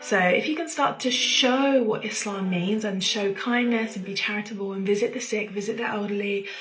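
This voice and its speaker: A woman speaks quietly at a fairly high pitch with ordinary pitch variation. Noticeable background noise and audible room echo surround her. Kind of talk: casual personal talk.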